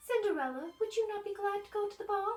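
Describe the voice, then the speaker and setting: A squeaky put-on character voice from a woman, extremely high-pitched and very fast. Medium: read story. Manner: sneering.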